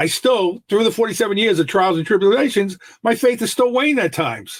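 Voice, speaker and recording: With an American accent, a man talks at a fairly quick pace, his pitch swinging very widely. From New York City. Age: 60s. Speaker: mindset coach. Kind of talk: podcast interview.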